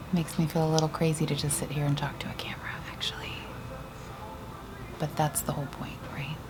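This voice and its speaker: Speech comes at a very fast pace broken by long, frequent pauses, with noticeable background noise. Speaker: vlogger. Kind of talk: sound check monologue. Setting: at work during lunch break. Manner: normally very loud.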